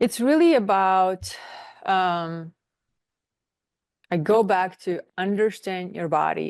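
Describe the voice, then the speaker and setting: Against a quiet background, a woman with a non-native accent speaks at a medium pitch with ordinary pitch variation. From outside the US, non-English-speaking country. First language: not English. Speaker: nutritionist and wellness coach. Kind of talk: interview. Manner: halting, with fillers.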